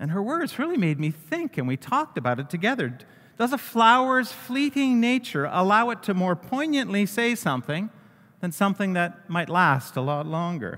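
A high-pitched man's voice with very wide pitch swings. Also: moderate pace. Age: 60s. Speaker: pastor. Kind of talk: sermon.

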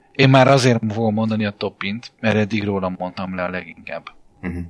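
A man's fairly low-pitched, unremarkable speaking voice at a fairly quick pace, dry and close with no echo. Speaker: basketball podcast co-host. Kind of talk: casual chat.

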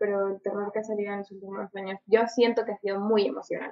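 A woman speaks at a fairly quick pace with a fairly high pitch and a Peruvian accent. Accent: Peruvian Spanish (Lima). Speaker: film podcast co-host. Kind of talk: casual chat.

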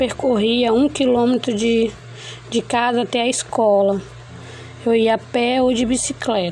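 A woman speaks fairly slowly at a fairly high pitch, in a flat monotone. Her loudness is very even, broken by long, frequent pauses. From Brazil, Roraima (Caroebe). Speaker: university student. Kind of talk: class presentation. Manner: halting.

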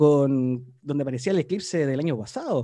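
A man's voice carries a dark, mellow tone. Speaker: school show host. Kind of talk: show hosting.

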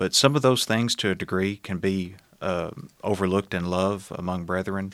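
A man with a Tennessee accent at a fairly low pitch and moderate pace, fairly even in intonation, on a very clean recording with a silent background. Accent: Southern US (Tennessee). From Middle Tennessee, US South. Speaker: former church minister. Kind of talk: interview testimony. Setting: studio.

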